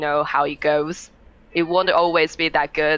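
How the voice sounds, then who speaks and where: With a non-native accent, a woman speaks in a monotone, flat intonation at a very deep, low pitch, over noticeable background noise. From Taiwan. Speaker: streamer. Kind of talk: podcast interview. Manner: halting.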